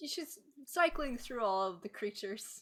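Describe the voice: A woman's voice is high in pitch. Its tone is bright and sharp.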